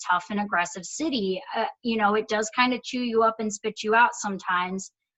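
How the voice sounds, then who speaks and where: Speaking at a fairly high pitch with ordinary pitch variation, a woman keeps a moderate pace and hardly pauses at all. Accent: strong Michigan. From Michigan (Dearborn), US Midwest. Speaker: performer and voice actor. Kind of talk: casual interview chat.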